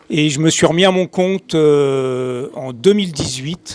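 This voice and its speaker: A man speaks rather slowly with ordinary pitch variation while noticeable noise sits in the background. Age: 60s. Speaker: bicycle frame builder. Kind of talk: panel discussion.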